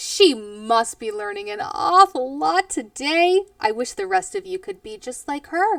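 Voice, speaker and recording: Using a put-on character voice, a woman speaks at a moderate pace with extremely high pitch, very wide pitch swings and big swings in loudness. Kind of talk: read-aloud story for children. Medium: read story.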